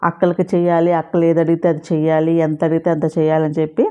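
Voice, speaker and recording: Fairly low-pitched woman, dark and mellow in tone, monotone and flat, over a quiet background. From Andhra Pradesh. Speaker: vlogger. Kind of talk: casual vlog talk to camera.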